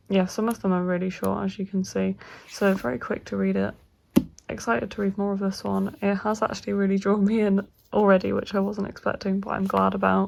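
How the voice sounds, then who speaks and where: At a fairly quick pace, a woman talks over noticeable background noise. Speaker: book vlogger. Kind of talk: casual vlog talk. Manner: quiet, soft-spoken.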